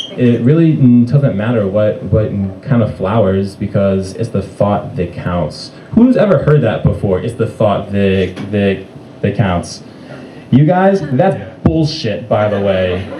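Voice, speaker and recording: Over noticeable background noise, a man talks at a very slow pace. His pitch is fairly low and his intonation lively. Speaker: stand-up comedian. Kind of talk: stand-up comedy set. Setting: live comedy club. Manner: stuttering.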